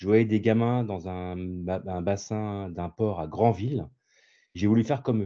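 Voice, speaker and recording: In a quiet background, a man speaks at a fairly slow pace with a dark, mellow tone and ordinary pitch variation. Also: fairly low pitch for a man. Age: 60s. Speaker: visually impaired sailor. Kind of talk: interview. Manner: hesitant, many fillers.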